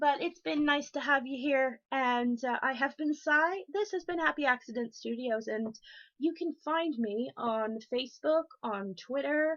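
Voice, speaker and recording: A woman with an American accent speaks in a high pitch at a fairly slow pace. Her intonation is lively, and the background is quiet. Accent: sounds American. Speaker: craft streamer. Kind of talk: crafting livestream show-and-tell. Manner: casual with frequent ums.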